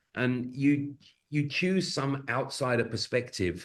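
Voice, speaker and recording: The speaker is a man with a British accent. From Britain. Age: middle-aged. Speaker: facilitator and improviser. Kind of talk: podcast interview.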